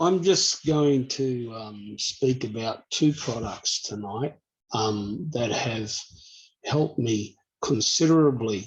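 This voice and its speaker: The speaker talks very slowly with an Australian accent. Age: 50s. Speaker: customer sharing product testimony. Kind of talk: testimony.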